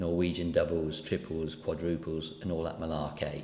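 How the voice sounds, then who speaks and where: With audible room echo, a man speaks fairly quickly in a very deep, low voice. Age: 60s. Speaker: running coach. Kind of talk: personal vlog monologue. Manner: casual, rambling.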